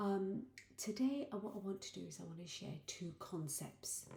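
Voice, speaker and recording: Quiet and somewhat breathy, this woman's voice sits at a medium pitch. Her tone is dark and mellow. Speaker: life coach and vlogger. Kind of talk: personal video diary. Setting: at home late at night. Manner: speaking quietly.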